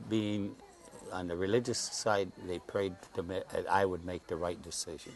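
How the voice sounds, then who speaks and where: Over noticeable background noise, a man with an American accent speaks in a very deep, low pitch with fairly even intonation. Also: moderate pace. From US Midwest (Indiana, Michigan, Ohio). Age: 80s+. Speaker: cancer patient interviewee. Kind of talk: interview. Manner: halting.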